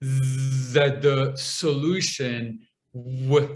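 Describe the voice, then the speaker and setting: At a very slow pace, a man speaks with a fairly high pitch and a somewhat breathy voice. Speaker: public speaker and stand-up comedian. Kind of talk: podcast interview answer.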